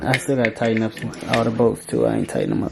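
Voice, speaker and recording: There is noticeable background noise behind this man. He speaks at a medium pitch with fairly even intonation. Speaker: dirt bike vlogger. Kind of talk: casual vlog unboxing. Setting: indoors at home late at night. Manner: trying to be quiet. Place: home room. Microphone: phone near.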